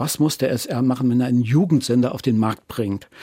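A man talks at a fairly quick pace with a medium pitch, ordinary pitch variation and a dark, mellow tone. The recording is very clean with a silent background. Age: 60s. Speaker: former archaeologist and radio marketing man, retiree. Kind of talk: interview, personal story.

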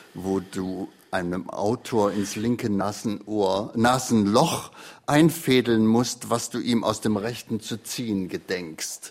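Man with a fairly low pitch, very slow pace, on a very clean recording with a silent background. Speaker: retired literary radio editor and host. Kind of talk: interview. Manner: spontaneous free-flowing speech.

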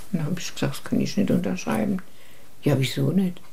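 A woman's dark, mellow tone with vocal fry. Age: 80s+. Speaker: women's rights activist. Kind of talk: interview. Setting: at her home.

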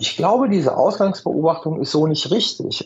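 This man's voice has vocal fry. He speaks at a moderate pace. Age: 50s. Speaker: professor of international politics, security expert. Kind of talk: radio interview. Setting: remote call via app. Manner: hesitant with fillers and repetitions.

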